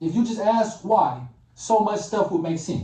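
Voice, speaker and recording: An animated man with a high pitch, with audible room echo. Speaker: YouTuber commentator. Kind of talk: reaction rant.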